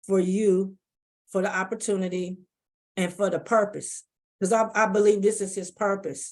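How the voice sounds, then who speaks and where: In a very clean recording with a silent background, a woman speaks with an American accent at a moderate pace. Her pitch is medium and her intonation fairly even. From US West Coast, Oakland, California. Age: 60s. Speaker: cancer patient navigator. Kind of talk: conversational interview. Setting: conference.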